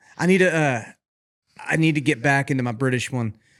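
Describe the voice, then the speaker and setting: On a very clean recording with a silent background, a man at medium pitch talks at a fairly quick pace in an animated tone. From West Texas, Lubbock. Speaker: singer-songwriter, former rodeo cowboy. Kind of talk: casual chat.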